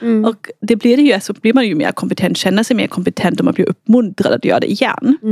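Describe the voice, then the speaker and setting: A woman talks at a very fast pace with hardly any pauses, her pitch fairly high with ordinary variation. The sound is dry and close with no echo. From Austria. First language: German (speaking Swedish). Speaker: researcher. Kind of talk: casual interview.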